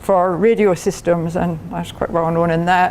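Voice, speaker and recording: In a strong Scottish accent, the speaker moves at a fairly quick pace with monotone, flat intonation. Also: woman. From Scotland. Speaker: engineering professor. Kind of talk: lecture. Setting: club meeting with audience.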